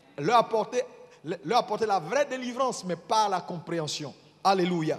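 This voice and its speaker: The intonation is lively, with noticeable noise in the background. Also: man, high pitch for a man. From Ivory Coast. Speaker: bishop preaching. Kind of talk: sermon. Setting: church. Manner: deliberately slow.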